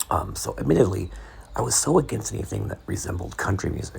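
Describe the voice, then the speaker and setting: A man whispers at a fairly quick pace against noticeable background noise. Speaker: podcaster. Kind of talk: sleep podcast essay reading. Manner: whispery.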